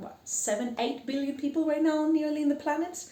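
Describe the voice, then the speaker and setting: A woman with a Greek accent speaks in an animated tone amid noticeable background noise and audible room echo. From Greece. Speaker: podcast host. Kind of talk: casual monologue. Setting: house-sitting flat.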